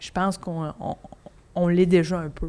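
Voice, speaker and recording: A woman with a Quebec accent, medium pitch, and a very slow pace. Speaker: comedian. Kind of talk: casual chat.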